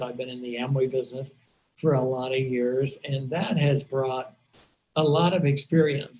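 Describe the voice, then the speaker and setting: A man talks at a fairly slow pace in a fairly high, somewhat breathy voice with ordinary pitch variation. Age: 70s. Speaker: team leader of a direct-sales business. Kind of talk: webinar talk to a team.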